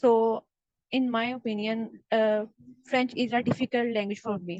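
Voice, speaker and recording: A woman's fairly high voice in a Pakistani accent, monotone and flat, at a fairly slow pace. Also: dry, close sound with no echo. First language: Urdu. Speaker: exam practice student. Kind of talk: mock speaking exam. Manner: halting, many fillers.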